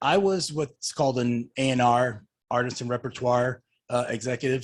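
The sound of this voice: A man talks at a medium pitch and a moderate pace.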